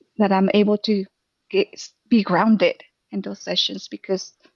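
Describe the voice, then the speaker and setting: Speaking at a moderate pace in a Spanish accent, a woman with a medium pitch keeps her intonation monotone and flat. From Mexico, Jalisco. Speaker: therapist. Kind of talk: casual chat.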